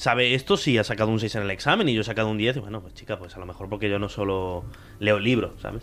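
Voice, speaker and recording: Loudness swings widely as a man talks at a very fast pace. His pitch is fairly low and his intonation fairly even. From Spain, raised from age four; born in Córdoba, Argentina. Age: 20s. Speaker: podcast host. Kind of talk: casual chat.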